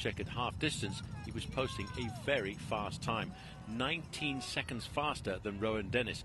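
A man speaks at a medium pitch in a plain, everyday voice. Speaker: cycling commentator. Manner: steady, measured, analytical race call, slightly understated.

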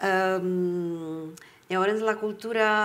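A woman with a Czech accent, at a very slow pace, medium pitch and fairly even intonation. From Czech Republic, Prague; Czech Republic. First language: Czech (speaking Catalan). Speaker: writer and translator; guest. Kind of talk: public talk at library book club. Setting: library event with audience. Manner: halting. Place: hall.

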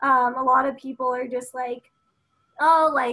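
Her tone bright and sharp, a woman speaks at a moderate pace in a high pitch with fairly even intonation. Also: quiet background. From United States, Filipino American. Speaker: environmental activist and media host; media host. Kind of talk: casual chat. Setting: video call. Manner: casual, filler-heavy. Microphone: video call.

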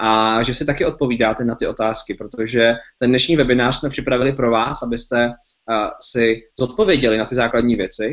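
A man talks fairly quickly against a quiet background. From Czech Republic. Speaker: webinar host. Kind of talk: webinar presentation. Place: home room. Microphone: webcam.

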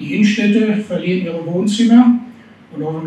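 The pace is fairly quick, and room echo can be heard. Light background noise sits underneath. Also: man. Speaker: restaurateur and trade association spokesman. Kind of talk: panel discussion. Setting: stage with audience. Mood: earnest, concerned, argumentative. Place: hall.

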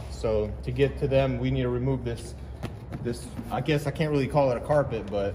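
A man speaks fairly quickly while light noise sits in the background. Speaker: mechanic host. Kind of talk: casual vlog chat. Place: workshop. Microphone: phone near.

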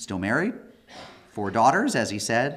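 A man is speaking here. His pace is moderate. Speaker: guest lecturer. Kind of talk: lecture. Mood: warm, joking opening remarks. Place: hall. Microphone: podium.

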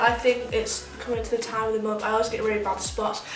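A woman's voice with audible room echo and clear music in the background. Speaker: beauty vlogger. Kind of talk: casual vlog chat. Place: home room. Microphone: phone near.

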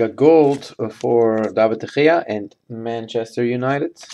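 At a fairly slow pace, a man at medium pitch talks in a dark, mellow tone with ordinary pitch variation.

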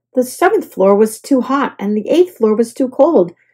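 A woman's fairly high voice with a slightly mellow tone, a slightly husky edge, lively intonation and a moderate pace

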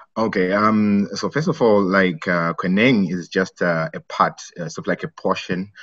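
A man's bright, sharp tone over a quiet background. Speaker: guest. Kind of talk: interview answer. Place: office. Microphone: video call.

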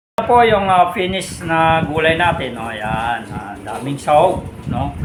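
A man's fairly high voice at a fairly slow pace with very wide pitch swings, amid audible room echo and noticeable background noise. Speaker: vlogger. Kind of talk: cooking vlog. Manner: halting, many fillers.

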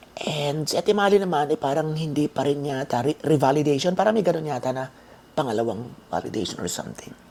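Over noticeable background noise, a woman with a very deep, low voice talks at a very fast pace with lively intonation. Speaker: vlogger. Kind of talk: casual vlog talk. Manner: animated.

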